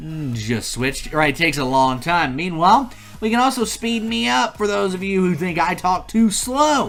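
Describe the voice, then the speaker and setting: A man's high-pitched voice with very wide pitch swings, music in the background. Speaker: YouTube tutorial host. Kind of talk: tutorial. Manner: fast; energetic.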